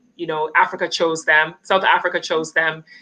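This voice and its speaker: In a Canadian accent, a woman with a fairly low voice and a bright, sharp tone speaks at a moderate pace. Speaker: channel host, interviewer. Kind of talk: live stream interview.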